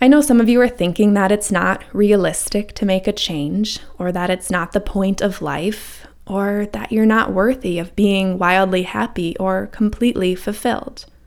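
With an ordinary speaking voice, a woman talks at a moderate pace and medium pitch, with ordinary pitch variation and hardly any pauses. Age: 30s. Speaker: wellness coach and podcast host. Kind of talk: scripted monologue.

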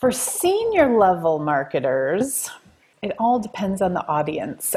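A woman with an ordinary speaking voice talks at a fairly slow pace and medium pitch, in an American accent. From Wisconsin, US Midwest. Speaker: marketing executive and author. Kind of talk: podcast interview.

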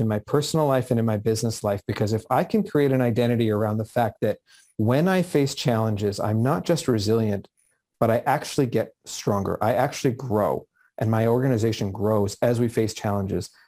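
A man with a Canadian accent speaks at a medium pitch in a dark, mellow tone, his loudness very even throughout. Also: ordinary pitch variation, fairly quick pace. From Canada, Vancouver area. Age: 40s. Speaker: business manager and author. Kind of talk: interview conversation.

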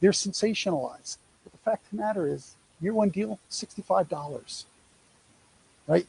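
This man talks at a moderate pace in a New York accent. His pitch is high, with ordinary pitch variation. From New York, US. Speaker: speaker on college athlete revenue program. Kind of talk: presentation to a live audience. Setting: in-person event, also streamed online.

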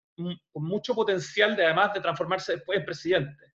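A man speaks at a fairly quick pace. His voice sits high in pitch. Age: 50s. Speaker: journalist and radio host. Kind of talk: podcast interview.

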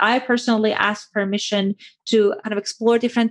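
Someone with an Iranian accent talks at a fairly quick pace with fairly even intonation. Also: woman. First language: Persian. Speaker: clinical psychologist and sex therapist. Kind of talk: interview.

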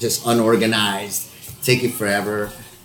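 A man with an American accent talks amid noticeable background noise and audible room echo. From Texas, El Paso. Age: 40s. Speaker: actor, podcast co-host. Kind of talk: casual chat.

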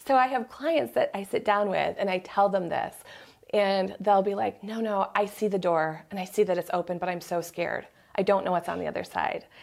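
An ordinary speaking voice, fairly quick in pace, with ordinary pitch variation. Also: woman, medium pitch for a woman. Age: 40s. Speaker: medium and intuitive coach. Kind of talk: casual chat.

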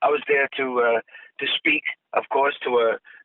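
A man with a Boston accent at a fairly slow pace. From South Boston, Massachusetts. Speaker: TV travel host and actor. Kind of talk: casual interview. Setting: phone call.

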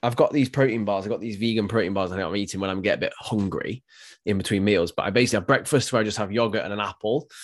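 Very fast speech with an English accent and fairly even intonation over a quiet background. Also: man, fairly low pitch for a man. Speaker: fitness podcast co-host and personal trainer. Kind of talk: casual chat.

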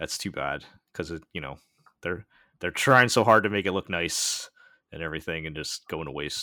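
On a very clean recording with a silent background, a man with an American accent speaks in a very deep, low voice with a bright, sharp tone. His pace is moderate and his pitch variation ordinary, with big swings in loudness and long, frequent pauses. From United States. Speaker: podcast host. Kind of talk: casual chat.

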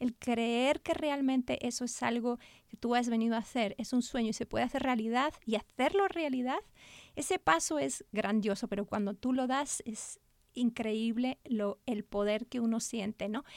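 Pitch varies in an ordinary way as the speech goes at a moderate pace. The sound is dry and close, with no echo. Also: woman, high pitch for a woman. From Spain. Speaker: children's author and art therapist. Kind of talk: interview.

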